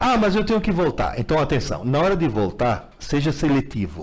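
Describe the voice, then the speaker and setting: Fairly high-pitched man's voice with very wide pitch swings, vocal fry, and a moderate pace. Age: 70s. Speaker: teacher. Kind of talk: live Q&A.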